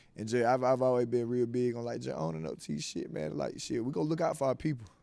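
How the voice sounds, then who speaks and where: This man speaks very fast at a medium pitch, with a Georgia accent. His dark, mellow tone swings very widely in pitch. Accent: Southern US, Georgia. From South Georgia, USA. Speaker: rapper. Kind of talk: interview answer. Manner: casual, profane.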